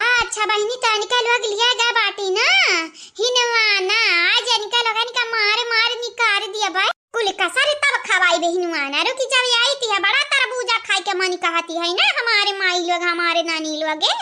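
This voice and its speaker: In a cartoonish character voice, a woman speaks at an extremely high pitch with ordinary pitch variation, very even loudness and a moderate pace. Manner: loud, scolding.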